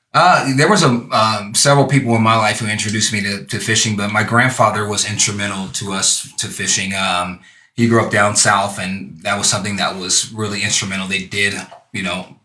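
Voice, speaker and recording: In a room with audible echo, a man with a fairly low pitch talks at a fairly quick pace with ordinary pitch variation. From California, Santa Monica. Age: 40s. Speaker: youth fishing program founder. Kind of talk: casual interview. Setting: live stream show.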